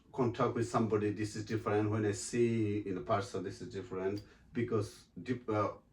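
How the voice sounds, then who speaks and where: Fairly quick speech from a man, fairly low-pitched, with a Bengali accent. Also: hardly any pauses, big swings in loudness. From Bangladesh. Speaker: actor and model. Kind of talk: interview. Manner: halting.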